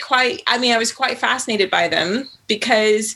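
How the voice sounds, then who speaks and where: A bright, sharp tone in an American accent. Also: woman. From US, Virginia. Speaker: writer and author. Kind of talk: interview.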